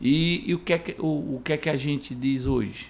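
A man's fairly high-pitched voice at a moderate pace, a plain, everyday voice. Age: 40s. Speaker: community leader and former city councillor. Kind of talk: interview.

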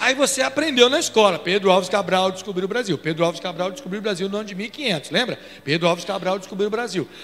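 Fast and animated, a man talks at a very fast pace in a high pitch with noticeable background noise behind him. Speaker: pastor. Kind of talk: sermon. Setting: church.

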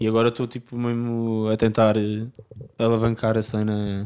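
At a moderate pace, a man talks in a fairly low, dark and mellow voice with flat, monotone intonation. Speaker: indie rock singer and guitarist. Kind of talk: casual interview chat.

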